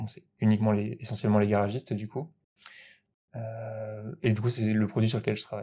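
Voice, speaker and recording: Talking at a fairly quick pace, a man with a fairly low pitch and a dark, mellow tone keeps fairly even intonation while his loudness swings widely. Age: 20s. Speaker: software developer. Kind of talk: casual interview. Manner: hesitant, many fillers.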